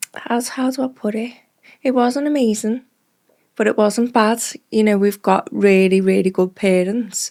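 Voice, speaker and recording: A woman speaks with a Liverpool accent. Her tone is dark and mellow. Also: fairly high pitch for a woman, ordinary pitch variation, moderate pace. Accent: Liverpool (Scouse). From Liverpool, England (Speke). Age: 30s. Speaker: drugs advisor, former addict. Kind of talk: personal testimony interview.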